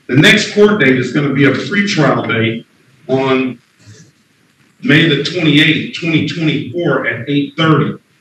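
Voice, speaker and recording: With light background noise and audible room echo, a man talks at a fairly high pitch. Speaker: judge. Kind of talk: court hearing. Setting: courtroom. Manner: firm. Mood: firm, patient. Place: hall. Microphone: webcam.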